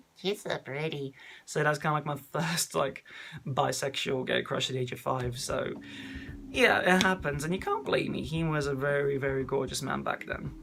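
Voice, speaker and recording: A man with an English accent and a fairly high pitch talks at a moderate pace with fairly even intonation over noticeable background noise. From England. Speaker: vlogger. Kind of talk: casual chat.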